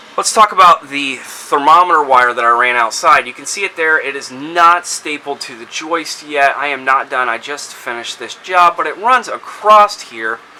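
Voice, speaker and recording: This man speaks at a moderate pace with hardly any pauses, his pitch fairly high and his intonation lively. His loudness swings widely, and noticeable background noise runs underneath. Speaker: DIY homeowner. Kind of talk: tutorial. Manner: casual.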